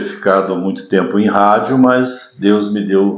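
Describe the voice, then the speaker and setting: Against noticeable background noise and audible room echo, a man speaks at a fairly slow pace in a fairly low pitch. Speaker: announcer. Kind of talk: podcast interview.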